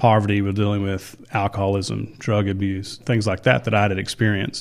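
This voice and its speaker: A man with an ordinary speaking voice and an American accent, fairly low in pitch, in a very clean recording with a silent background. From Texas. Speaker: high school principal. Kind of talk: interview.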